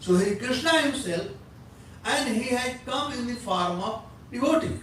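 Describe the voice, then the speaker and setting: Amid noticeable background noise and audible room echo, a man with an extremely high pitch speaks at a moderate pace with ordinary pitch variation. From India. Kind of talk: religious lecture.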